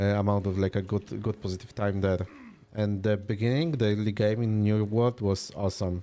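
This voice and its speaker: In a Polish accent, a man speaks at a moderate pace with fairly low pitch and a dark, mellow tone. His intonation is fairly even. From Poland. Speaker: video game streamer. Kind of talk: casual live-stream chat. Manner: relaxed, casual.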